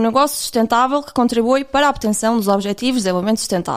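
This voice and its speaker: Over noticeable background noise, a woman speaks at a high pitch with a European Portuguese accent. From Portugal. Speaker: podcast host. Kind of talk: podcast interview. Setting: remote call.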